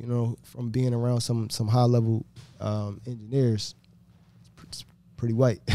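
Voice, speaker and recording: This man has a medium pitch and a fairly even intonation. He talks at a fairly slow pace. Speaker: podcast co-host. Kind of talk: casual interview. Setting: studio.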